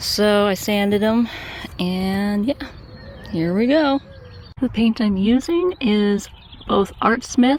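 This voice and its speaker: Speaking at a very slow pace, a woman with a fairly high pitch leaves long, frequent pauses. Her pitch varies in an ordinary way, and there is noticeable background noise. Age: 40s. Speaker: YouTuber. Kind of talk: casual talk to camera, ASMR-style vlog. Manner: soft-spoken, relaxed, gentle.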